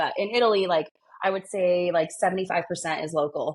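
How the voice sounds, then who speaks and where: This woman talks at a fairly quick pace, her fairly low pitch showing ordinary variation. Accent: Californian. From California, born in Argentina. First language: Spanish. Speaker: wedding planner. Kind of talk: interview. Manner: animated.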